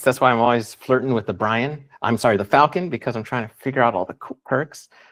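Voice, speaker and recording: A man's medium-pitched voice at a fairly quick pace, dry and close with no echo. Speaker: Amazon seller. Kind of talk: live webinar presentation. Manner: fast.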